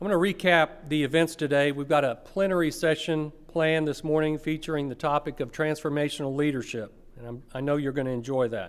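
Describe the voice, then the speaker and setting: A man with a normal speaking voice, fairly high pitch, ordinary pitch variation, a fairly quick pace, and hardly any pauses. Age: 60s. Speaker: foundation chairman and conference host. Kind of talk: conference opening remarks.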